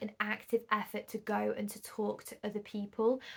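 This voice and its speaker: A woman speaks with a northern English accent. Her pitch is fairly high. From northern England. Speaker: podcast host and singles event organiser. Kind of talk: solo podcast monologue. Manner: conversational.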